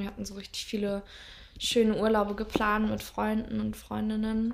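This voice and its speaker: This woman speaks at a fairly high pitch. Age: 20s. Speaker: podcast host, trainee physiotherapist. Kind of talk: casual chat. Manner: halting.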